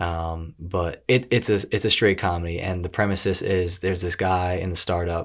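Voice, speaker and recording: A man's very deep, low voice at a moderate pace in a very clean recording with a silent background. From New York, Westchester. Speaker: actor and TV host. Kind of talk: casual chat. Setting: home studio. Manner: animated.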